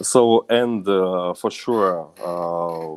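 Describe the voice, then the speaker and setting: In a Russian accent, a man with a very deep, low pitch speaks with fairly even intonation on a very clean recording with a silent background. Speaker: company manager. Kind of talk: business presentation. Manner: halting.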